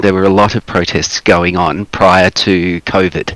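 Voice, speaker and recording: A man with an Australian accent speaks at a very deep, low pitch with fairly even intonation. The sound is dry and close with no echo, though noticeable background noise comes through. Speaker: activist guest on livestream. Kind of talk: casual chat.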